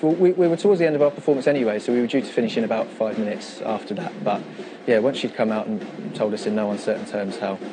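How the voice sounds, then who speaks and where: A man talks at a very fast pace at a medium pitch, with very wide pitch swings. Noticeable background noise is present. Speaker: drummer. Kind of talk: interview answer.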